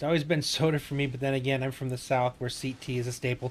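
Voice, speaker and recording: Music plays behind a man speaking with an American accent. His medium-pitched voice moves at a fairly quick pace with fairly even intonation. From Wisconsin. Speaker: gaming streamer, navy veteran. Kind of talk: casual chat during gameplay livestream.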